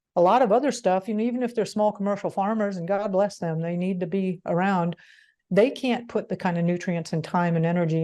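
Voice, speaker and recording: Over a quiet background, a woman talks at a fairly quick pace. Her tone is dark and mellow, at a medium pitch. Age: 60s. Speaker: homesteading educator. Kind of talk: interview. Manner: animated, with many restarts and fillers.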